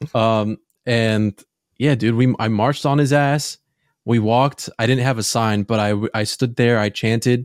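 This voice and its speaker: A plain, everyday voice from a man, medium in pitch, at a moderate pace with fairly even intonation and very even loudness, dry and close with no echo, in a very clean recording with a silent background. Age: 20s. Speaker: podcast co-host. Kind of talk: casual chat.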